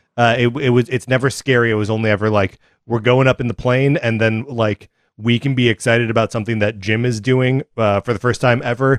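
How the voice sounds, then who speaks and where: Fairly quick and monotone, a man talks at medium pitch with flat intonation, the sound dry and close with no echo. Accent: American. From US Midwest, Kenosha, Wisconsin. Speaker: podcast host. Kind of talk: casual chat. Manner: halting.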